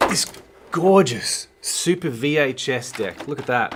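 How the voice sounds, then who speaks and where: A man with an Australian accent. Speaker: filmmaker and livestream host. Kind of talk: live stream talk. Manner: fast.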